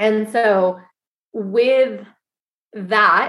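This woman has an American accent and an ordinary speaking voice. Her pitch sits in the medium range, and her intonation stays fairly even. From US Northeast, Syracuse, New York. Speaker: cooperative co-founder. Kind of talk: interview conversation.

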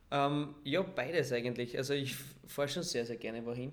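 Audible room echo surrounds a man speaking at a moderate pace. His pitch is medium and his intonation fairly even. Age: 20s. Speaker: footballer. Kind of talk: casual interview. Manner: calm.

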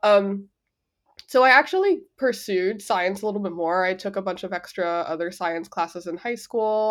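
Medium-pitched speech from a woman, moderately paced, with ordinary pitch variation. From East Los Angeles, US. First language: Spanish. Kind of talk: casual interview chat. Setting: remote call at 7:30 AM, drinking a mimosa.

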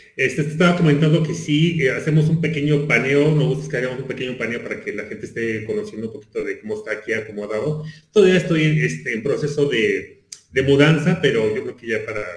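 Amid noticeable background noise and audible room echo, a man speaks very fast at a fairly high pitch with lively intonation. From Mexico City. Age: 40s. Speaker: visual artist. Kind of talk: casual chat.

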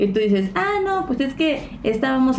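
A woman speaks with lively intonation over noticeable background noise and audible room echo. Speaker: podcast co-host. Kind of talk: casual chat.

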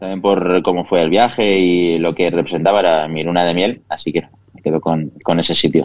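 With big swings in loudness, a man with a very deep, low pitch talks at a fairly quick pace and with fairly even intonation. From Spain, Castellón (Vila-real). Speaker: chef and food influencer. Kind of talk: interview.

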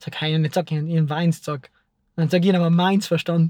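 A man with a high pitch at a fairly quick pace. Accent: South Tyrolean. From South Tyrol. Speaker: filmmaker. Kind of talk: casual chat.

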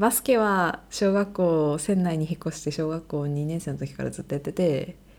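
Ordinary pitch variation and a moderate pace from a plain, everyday voice, captured on a very clean recording against a silent background. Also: woman, fairly low pitch for a woman. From Sendai, Japan. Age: 20s. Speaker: medical student, podcast co-host. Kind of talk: casual chat.

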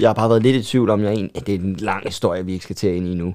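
A man talks at a very fast pace. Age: 20s. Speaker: stand-up comedian. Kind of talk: casual chat.

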